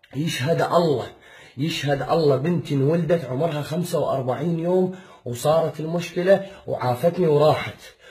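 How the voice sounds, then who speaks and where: Fairly high-pitched male voice, even in intonation at a moderate pace, over noticeable background noise. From Iraq, Baghdad. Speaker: father pleading for help. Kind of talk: personal appeal video. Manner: emotional, repetitive pleading.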